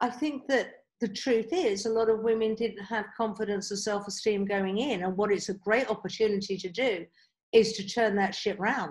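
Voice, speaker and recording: A woman's fairly high, somewhat breathy voice with fairly even intonation at a moderate pace. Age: 50s. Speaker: life coach. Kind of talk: interview, coaching advice.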